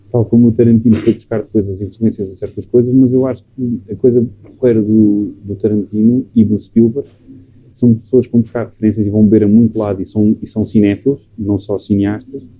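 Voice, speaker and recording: Over music in the background, a voice with a European Portuguese accent speaks at a fairly quick pace in a flat monotone. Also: man, medium pitch for a man. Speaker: film director. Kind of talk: casual chat. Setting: recorded in a bar.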